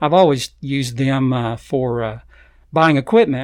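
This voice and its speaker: Recorded very cleanly against a silent background, a man with an Arkansas accent talks at a moderate pace, his fairly high voice kept fairly even in intonation. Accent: Southern US (Arkansas). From Arkansas, Fayetteville. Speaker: nature photographer. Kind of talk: interview. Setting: studio.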